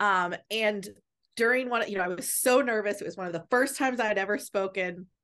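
A woman with an American accent and an ordinary speaking voice, medium in pitch with ordinary pitch variation, at a fairly quick pace against a quiet background. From Virginia, Shenandoah County. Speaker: life coach and speaker. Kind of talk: casual interview.

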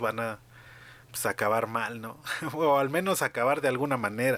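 A bright, sharp tone with a Mexican accent, in a very clean recording against a silent background. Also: man. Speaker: podcast host. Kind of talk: casual chat.

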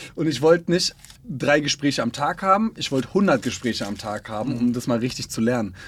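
Here a man talks fairly quickly with lively intonation. He has an unremarkable speaking voice at a medium pitch. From Berlin. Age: 20s. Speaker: influencer manager. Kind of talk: casual interview.

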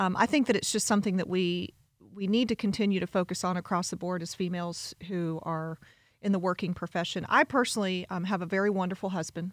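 A woman's very fast speech at a medium pitch, fairly even in intonation, on a very clean recording with a silent background. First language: Spanish. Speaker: college president. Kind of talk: casual interview.

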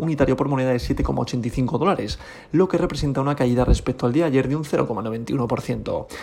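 This man's pitch sits fairly high. His pitch moves with ordinary variation. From Spain. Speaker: crypto podcast host. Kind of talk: daily market report.

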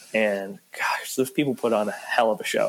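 A man's ordinary speaking voice with an American accent, medium pitch, ordinary pitch variation and a moderate pace. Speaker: student podcast host. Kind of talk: casual chat.

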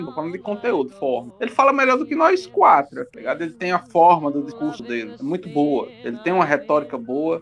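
Over noticeable background noise, a man speaks in a high pitch with very wide pitch swings. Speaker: podcast host. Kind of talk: casual chat.

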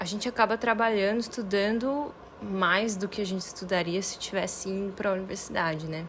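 Background noise is noticeable as a woman talks at a fairly quick pace. Her medium pitch follows fairly even intonation. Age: 20s. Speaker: university student. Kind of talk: interview testimony.

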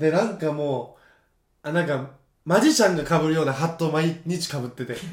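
A fairly high-pitched male voice at a fairly quick pace with ordinary pitch variation. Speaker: podcast co-host. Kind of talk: casual chat. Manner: animated, frequent laughter.

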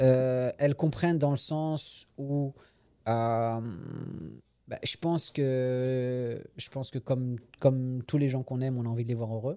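Speaking at a very slow pace with long, frequent pauses, a man uses a medium pitch, fairly even intonation and a dark, mellow tone. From France. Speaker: comedian. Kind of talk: casual chat. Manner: halting.

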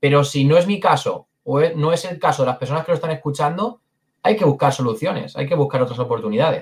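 A somewhat breathy man at a fairly high pitch, talking at a very fast pace. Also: lively intonation. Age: 20s. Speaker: sales closer. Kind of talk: interview.

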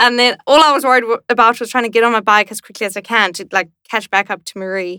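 A woman speaks at a very fast pace in a bright, sharp tone, with big swings in loudness and ordinary pitch variation. The sound is dry and close with no echo, in a very clean recording with a silent background. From South Africa, Cape Town. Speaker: professional cyclist and university student. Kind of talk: casual interview chat.

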